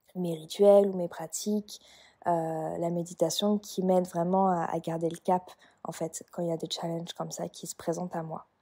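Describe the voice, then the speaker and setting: A woman's fairly low, dark and mellow voice at a moderate pace, monotone and flat, dry and close with no echo. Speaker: podcast host, energy guide and Reiki practitioner. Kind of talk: casual podcast monologue. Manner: hesitant, many fillers.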